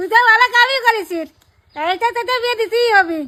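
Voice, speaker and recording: A woman puts on a character voice pitched extremely high, talking at a moderate pace. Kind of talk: rustic comic skit. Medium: voice reel.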